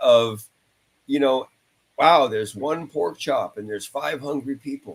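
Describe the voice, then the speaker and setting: A man talks in a normal speaking voice, fairly high in pitch. His pace is moderate and his pitch varies in an ordinary way. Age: 60s. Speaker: touring rock guitarist. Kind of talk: casual interview chat.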